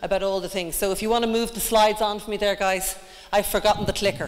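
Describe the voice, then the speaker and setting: Over noticeable background noise, a woman with an Irish accent speaks at medium pitch in a monotone, flat intonation. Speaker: fitness trainer and wellness coach. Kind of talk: conference presentation. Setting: stage with audience.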